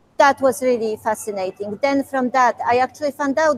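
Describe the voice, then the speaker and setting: Amid noticeable background noise, a woman with a Polish accent speaks at a high pitch with ordinary pitch variation. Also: dry, close sound with no echo. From Poland. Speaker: museum curator. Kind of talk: Q&A talk with school classes. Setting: video call.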